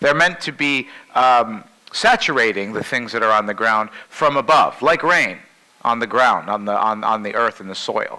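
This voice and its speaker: Loud and with a bright, sharp tone, a man speaks. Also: medium pitch for a man, ordinary pitch variation, moderate pace. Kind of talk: keynote talk to a group.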